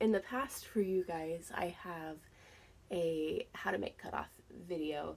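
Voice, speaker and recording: On a very clean recording with a silent background, a woman speaks very slowly at a fairly low pitch with ordinary pitch variation. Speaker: reseller vlogger. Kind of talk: casual vlog chat. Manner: casual with many fillers.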